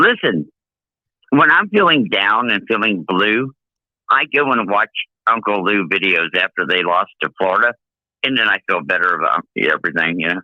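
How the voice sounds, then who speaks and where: A man speaks at a moderate pace and a fairly low pitch. His intonation is lively, with long, frequent pauses. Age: 60s. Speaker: caller, Florida fan. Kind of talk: casual chat. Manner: animated.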